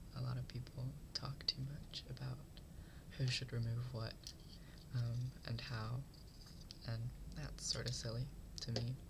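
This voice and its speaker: A soft-spoken voice in a gentle tone at a moderate pace, with noticeable background noise. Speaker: ASMR creator. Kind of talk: ASMR roleplay, soft-spoken makeover tutorial. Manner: soft-spoken, gentle.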